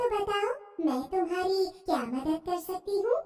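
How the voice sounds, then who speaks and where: A woman puts on a squeaky, cartoonish character voice at an extremely high pitch, speaking at a moderate pace with a slight echo. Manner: gentle, benevolent.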